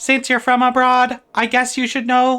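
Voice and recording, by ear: A put-on robotic character voice, female-sounding and high-pitched, flat and monotone at a moderate pace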